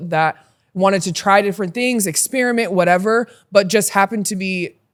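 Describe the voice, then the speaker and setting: With an American accent, a woman in a normal speaking voice talks at a fairly quick pace with ordinary pitch variation. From Utah, US. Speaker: podcast guest, former basketball player. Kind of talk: casual chat. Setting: podcast recording.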